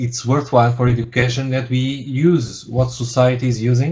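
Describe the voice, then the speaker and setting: His intonation monotone and flat, a man speaks in a somewhat breathy voice. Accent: Portuguese. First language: Portuguese. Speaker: university lecturer, researcher. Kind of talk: webinar presentation. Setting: webinar. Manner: halting, many fillers and repetitions.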